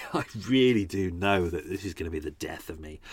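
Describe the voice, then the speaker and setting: A man with a London accent at a moderate pace, in a very clean recording with a silent background. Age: 40s. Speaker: true crime podcaster and tour guide. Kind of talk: casual chat. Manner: hesitant, many fillers.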